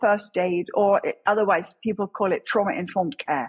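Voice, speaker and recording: With an English accent, a woman talks at a fairly quick pace in a somewhat breathy voice, recorded dry and close with no echo. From England. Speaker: crisis response chaplain, former police officer. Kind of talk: interview.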